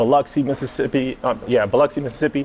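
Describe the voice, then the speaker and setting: Against noticeable background noise, a man talks with a slight New Orleans accent. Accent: little New Orleans. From New Orleans East, Louisiana. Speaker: streetwear figure and chef. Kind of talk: interview. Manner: halting, many fillers.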